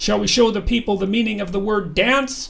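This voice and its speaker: Using a growling put-on character voice, a man talks at a high pitch and a fairly quick pace with ordinary pitch variation. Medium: read story. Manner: grandiose, commanding.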